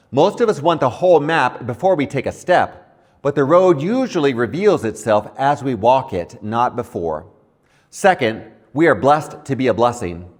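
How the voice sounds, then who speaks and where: Using vocal fry, a man at a medium pitch speaks at a moderate pace with very wide pitch swings. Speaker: pastor, Bible teacher. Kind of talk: Bible teaching, scripture reflection.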